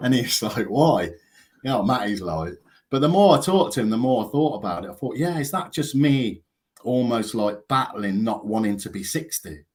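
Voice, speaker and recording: On a very clean recording with a silent background, a man with an English accent speaks at a moderate pace, his medium pitch making very wide swings. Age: 50s. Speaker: counsellor and author. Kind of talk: casual chat.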